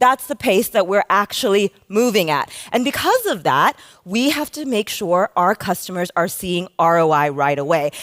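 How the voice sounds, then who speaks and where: Energetic in tone, a woman with an American accent speaks at a moderate pace and medium pitch, her voice making very wide pitch swings. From United States. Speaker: conference speaker, customer success consultant. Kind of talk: conference talk. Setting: stage with audience.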